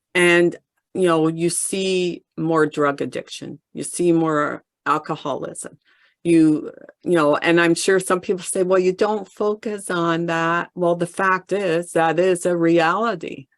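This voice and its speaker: Delivered at a fairly slow pace, an unremarkable speaking voice carries fairly even intonation in a dry, close sound with no echo. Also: woman, fairly low pitch for a woman, very clean recording, silent background. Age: 60s. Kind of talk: group discussion.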